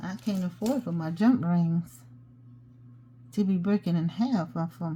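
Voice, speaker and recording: Her voice is fairly low and somewhat breathy, with a dark, mellow tone. This woman speaks with lively intonation. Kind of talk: tutorial. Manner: mumbles sometimes; casual, chatty.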